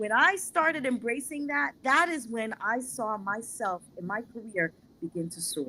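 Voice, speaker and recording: A woman with an American accent speaks at a fairly high pitch, with very wide pitch swings and big swings in loudness. Her tone is bright and sharp, and her pace is moderate. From New York City, the Bronx. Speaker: panelist, corporate professional. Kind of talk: panel discussion.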